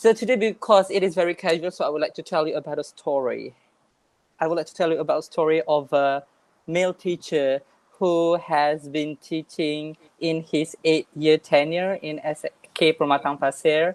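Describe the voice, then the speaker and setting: A woman with a Malaysian accent, very deep and low in pitch, at a moderate pace with ordinary pitch variation and a dry, close sound with no echo. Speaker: English teacher. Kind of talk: online workshop talk.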